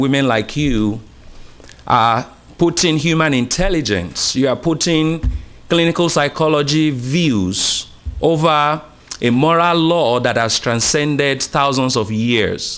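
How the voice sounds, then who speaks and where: A man with an American accent, fairly high pitch, ordinary pitch variation and a fairly slow pace. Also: very even loudness. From Uganda. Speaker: pastor. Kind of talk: public comment at city council meeting.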